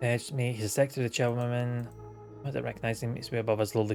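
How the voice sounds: The voice reads aloud. It is a natural reading voice.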